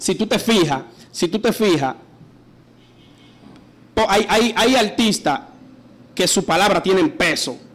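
Pausing long and often, a man talks at a very slow pace in a high voice with lively intonation. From San Pedro (Dominican Republic). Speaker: urban music artist, interview guest. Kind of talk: radio interview answer, heated and opinionated. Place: studio. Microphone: studio mic.

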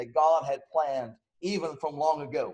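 Over a quiet background, a man speaks at a moderate pace. His pitch varies in an ordinary way. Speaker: preacher. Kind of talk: sermon. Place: home room.

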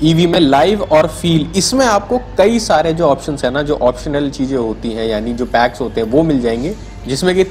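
A man talks at a moderate pace with very wide pitch swings while music plays in the background. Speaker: car reviewer. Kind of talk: casual car walkaround commentary. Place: shop. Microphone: phone near.

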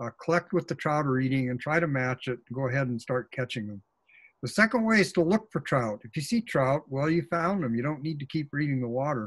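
Against a quiet background, a man with an American accent speaks at a fairly quick pace in a fairly high, somewhat breathy voice with lively intonation. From Oregon coast, US Pacific Northwest; Oregon. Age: 70s. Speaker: fly fishing author and expert; presenter. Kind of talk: webinar presentation. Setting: video call. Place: office. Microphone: webcam.

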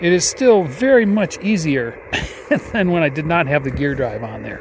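A man with a high pitch and very wide pitch swings talks at a fairly quick pace, the sound dry with no echo despite noticeable background noise. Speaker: ham radio operator. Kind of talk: casual demo chat and radio net check-in. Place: open country. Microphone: phone near.

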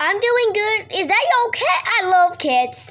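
At a fairly slow pace, a woman puts on a character voice with an extremely high pitch.

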